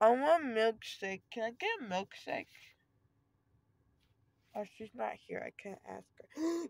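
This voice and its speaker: A woman speaks at a very slow pace in a whiny tone, sounding whiny throughout. Her loudness swings widely, and the sound is dry with no echo. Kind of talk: casual vlog chat. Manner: drowsy, slurred, whiny anesthesia voice. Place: car. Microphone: phone near.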